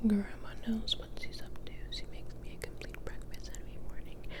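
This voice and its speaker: Someone whispers over noticeable background noise. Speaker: ASMR creator. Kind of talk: ASMR book reading. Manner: whispered, soft-spoken.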